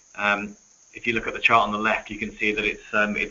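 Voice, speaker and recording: Over noticeable background noise, a man speaks very fast in a fairly low, monotone, flat voice. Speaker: retail executive. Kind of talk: webinar presentation. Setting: webinar. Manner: hesitant, many fillers.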